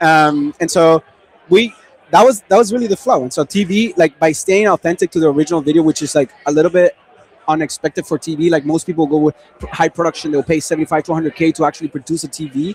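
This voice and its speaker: A man with a Spanish accent, fairly high pitch, ordinary pitch variation, and a very fast pace. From Venezuela. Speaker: e-commerce marketing expert. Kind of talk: panel discussion. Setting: livestream panel.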